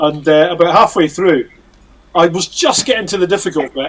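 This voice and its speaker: A high-pitched man with a Scottish accent. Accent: Scottish drawl. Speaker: musician. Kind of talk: casual chat.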